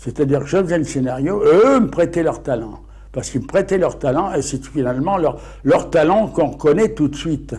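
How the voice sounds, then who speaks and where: A dark, mellow voice with vocal fry moves at a fairly quick pace with lively intonation. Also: man, fairly high pitch for a man. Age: 80s+. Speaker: comics author and publisher. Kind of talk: interview. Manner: halting.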